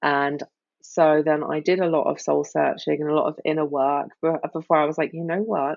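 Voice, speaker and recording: A woman with a British accent, very deep and low in pitch, in a monotone, flat delivery. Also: moderate pace. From Britain. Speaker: life coach and cancer survivor. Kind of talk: podcast interview.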